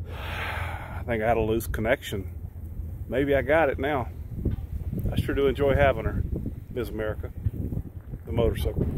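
A man's moderately paced speech with lively intonation and long, frequent pauses, dry with no echo, over noticeable background noise. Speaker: RV vlogger. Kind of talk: casual vlog chat. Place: street. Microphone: phone near.

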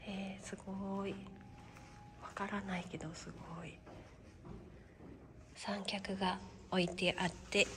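A woman's medium-pitched voice, monotone and flat, at a very slow pace with long, frequent pauses, big swings in loudness and noticeable background noise. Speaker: freelance announcer, MC and narrator. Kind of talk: casual talk to camera. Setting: travel vlog, hotel and outdoors.

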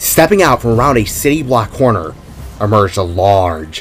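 The voice reads plainly aloud with lively intonation.

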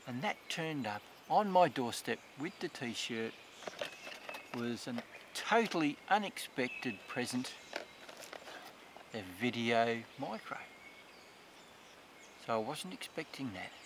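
A man talks at a fairly slow pace with long, frequent pauses, the sound dry with no echo but with noticeable background noise. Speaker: hobby filmmaker reviewing gear. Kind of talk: casual product review. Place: forest.

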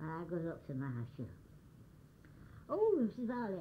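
The voice is somewhat breathy, with very wide pitch swings. The pace is moderate. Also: woman. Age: 80s+. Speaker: elderly storyteller. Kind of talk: oral history storytelling.

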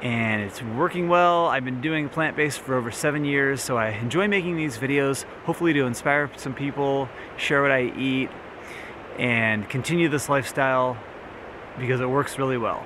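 Dry sound with no echo, with noticeable background noise. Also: man, ordinary pitch variation, moderate pace. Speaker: wellness vlogger. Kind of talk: casual vlog chat. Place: open country. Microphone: camera far.

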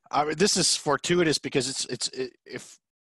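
Dry, echo-free audio of a man over a quiet background. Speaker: podcast host. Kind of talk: interview. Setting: video call. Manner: casual, joking. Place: office. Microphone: headset.

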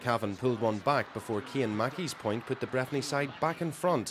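Lively intonation marks this man's ordinary speaking voice. He talks at a medium pitch and a moderate pace. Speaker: sports reporter. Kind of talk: pre-recorded sports report voiceover. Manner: lively, flowing play-by-play recap.

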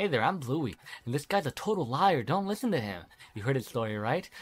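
A man uses a rumbling, put-on character voice at medium pitch in a very clean recording with a silent background. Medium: game stream. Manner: resentful, grumbling.

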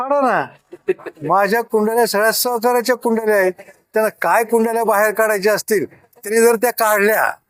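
High in pitch, a man speaks with ordinary pitch variation and very even loudness, in a dry, close sound with no echo. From Kopargaon, Maharashtra, India. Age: 70s. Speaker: local politician, mayoral candidate. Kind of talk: press interview.

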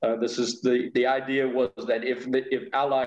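A man at a moderate pace, with audible room echo. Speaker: guest. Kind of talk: interview answer. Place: home room. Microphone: video call.

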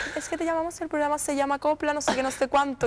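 Talking at a very fast pace, a woman uses an animated tone and a high pitch. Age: 20s. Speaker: copla singer; interview guest. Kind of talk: TV interview. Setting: TV studio with audience. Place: studio. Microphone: lapel.

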